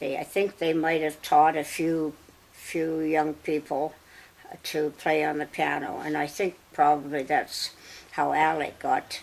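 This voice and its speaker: Flat and monotone, a woman with a very deep, low pitch speaks with a Canadian Prairie accent against noticeable background noise. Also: fairly slow pace. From Saskatchewan, Canada. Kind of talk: interview answer. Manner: slow, hesitant.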